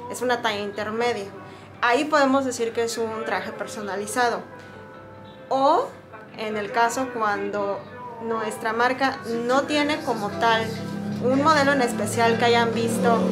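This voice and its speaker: Clear music plays in the background while the speaker keeps a fairly even intonation. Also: woman, fairly high pitch for a woman. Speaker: swimwear shop employee. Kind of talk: explaining to camera. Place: shop. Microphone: phone near.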